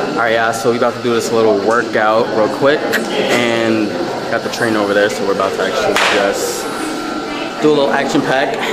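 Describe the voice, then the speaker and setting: Fairly quick pace from a man, with loud background noise. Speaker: vlogger. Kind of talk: casual vlog chat. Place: gym. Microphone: phone near.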